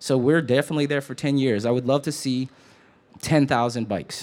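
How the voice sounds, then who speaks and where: Very fast pace and an animated tone from a man with an American accent. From Detroit, Michigan. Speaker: community bike ride organizer. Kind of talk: onstage interview. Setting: store event stage with audience.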